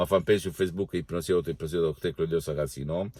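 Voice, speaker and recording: The man has a non-native accent and a dark, mellow tone. His pitch varies in an ordinary way. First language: Italian (speaking French). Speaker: hypnotherapist. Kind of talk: promotional video talk. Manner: halting.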